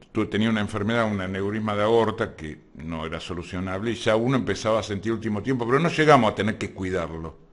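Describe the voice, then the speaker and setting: Rushing at a very fast pace with hardly any pauses, a man talks at a fairly low pitch with ordinary pitch variation. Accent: Argentine. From Argentina, Buenos Aires area (Lanús/Avellaneda). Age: 60s. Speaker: activist working on provincial hospital issues. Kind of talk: casual interview.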